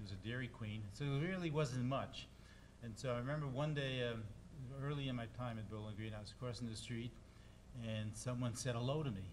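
A man with an American accent talks at a fairly quick pace in a medium pitch with ordinary pitch variation, somewhat breathy. Light background noise is present. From New York, Brooklyn (Brownsville); New York. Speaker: psychology professor. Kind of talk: interview on stage. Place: meeting room. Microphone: studio mic.

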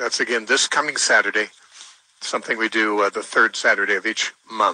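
At a fairly quick pace, a man talks in a dry sound with no echo. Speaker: radio host. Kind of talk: call-in radio answer on Bible questions. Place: studio.

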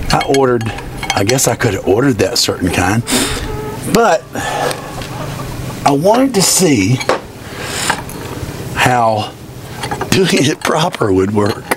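A man talks at a fairly slow pace with long, frequent pauses as noticeable background noise carries on. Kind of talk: casual tutorial commentary. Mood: jokey, self-deprecating. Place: farm machine.

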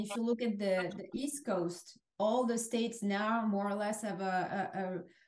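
A woman speaks at a moderate pace with medium pitch. Her pitch varies an ordinary amount, with audible room echo. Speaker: marketing executive. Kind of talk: interview. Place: home room. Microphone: webcam.

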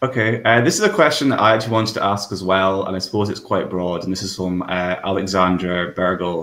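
This man has a low pitch and a fairly bright tone. He talks at a fairly quick pace with fairly even intonation.

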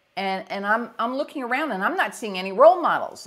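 A woman with a New York accent, energetic in tone, with very wide pitch swings. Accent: New York area. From US Northeast. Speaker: executive leadership coach. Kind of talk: casual interview.

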